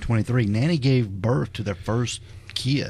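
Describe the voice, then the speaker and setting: Medium-pitched male speech at a moderate pace with ordinary pitch variation, over noticeable background noise. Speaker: podcast host. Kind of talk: casual podcast conversation.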